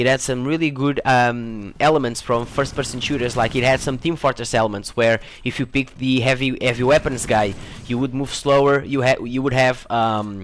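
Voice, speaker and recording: This man has a non-native accent and a medium pitch with fairly even intonation. He talks at a fairly quick pace. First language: not English. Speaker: gaming YouTuber. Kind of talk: casual vlog Q&A. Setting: home room. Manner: hesitant, many fillers and repetitions.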